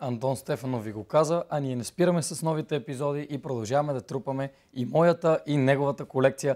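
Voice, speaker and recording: A man with a fairly high voice and ordinary pitch variation talks at a fairly quick pace with hardly any pauses over a quiet background. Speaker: student TV host. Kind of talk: interview. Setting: studio. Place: studio.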